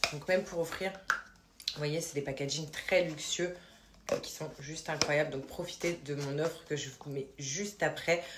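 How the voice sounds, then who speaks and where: Over noticeable background noise, a woman speaks in a very deep, low pitch with fairly even intonation. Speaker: lifestyle vlogger. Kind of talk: vlog with sponsored product pitch. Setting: at home at night. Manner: soft-spoken. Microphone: poor sound quality.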